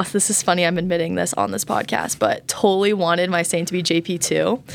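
Here is a woman with a plain, everyday voice and an American accent, at a medium pitch and a moderate pace. The recording is very clean, with a silent background. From Colorado. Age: 20s. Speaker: college student. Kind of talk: casual chat. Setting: in person, studio.

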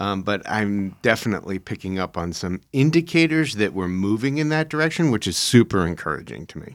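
On a very clean recording with a silent background, a man talks at a fairly quick pace with hardly any pauses and very wide pitch swings. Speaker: podcast host on prophecy. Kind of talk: casual chat. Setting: studio.

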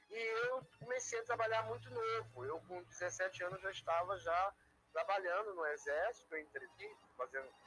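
A man is speaking. His pace is moderate. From Rio de Janeiro city, Brazil. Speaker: art teacher. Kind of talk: interview. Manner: halting.

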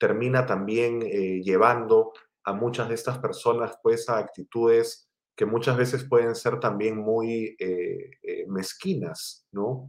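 A man speaks with fairly even intonation. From Peru, Lima. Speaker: writer and library director. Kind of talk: interview conversation. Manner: hesitant fillers.

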